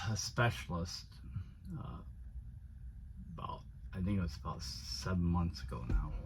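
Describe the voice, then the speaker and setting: A man's very deep, low voice with vocal fry. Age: 60s. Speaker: van life vlogger and HVAC technician. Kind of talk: personal vlog monologue. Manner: halting, many fillers.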